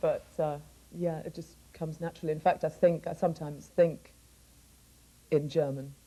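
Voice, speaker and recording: At a moderate pace full of long, frequent pauses, a woman speaks with a very deep, low pitch, a dark, mellow tone, somewhat breathy delivery, monotone, flat intonation and big swings in loudness. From northern England, Sunderland; raised in Nigeria from age ten. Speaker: singer. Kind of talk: interview. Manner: casual, with many fillers.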